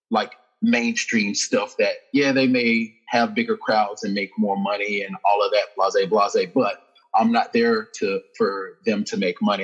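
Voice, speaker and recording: Over music in the background, a man with an American accent speaks at a moderate pace. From US South, Birmingham, Alabama. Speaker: boxer and fitness trainer. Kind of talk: podcast interview.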